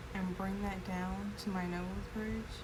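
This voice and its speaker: Soft-spoken and at a moderate pace, a woman talks over noticeable background noise. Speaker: makeup tutorial creator. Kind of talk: makeup tutorial narration.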